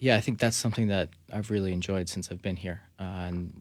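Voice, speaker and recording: On a very clean recording with a silent background, a man with an American accent speaks at a very deep, low pitch. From New Jersey. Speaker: professional soccer player. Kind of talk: radio interview. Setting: studio.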